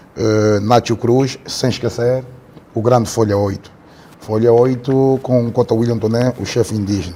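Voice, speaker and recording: Over noticeable background noise, a man with a medium-pitched voice talks at a moderate pace with fairly even intonation. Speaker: podcast host. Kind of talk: interview.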